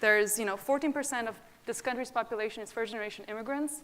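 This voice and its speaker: A woman with a non-native accent. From abroad, immigrated to US at 20. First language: not English. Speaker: nonprofit founder. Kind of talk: panel discussion.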